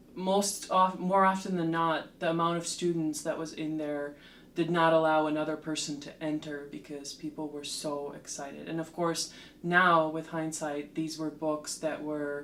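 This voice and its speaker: A woman with a very deep, low pitch talks at a moderate pace in a monotone, flat intonation. Her loudness swings widely, and room echo is audible. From Slovakia, Bratislava. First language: Slovak. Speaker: literature lecturer and translator. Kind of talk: interview, personal story. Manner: hesitant with frequent fillers.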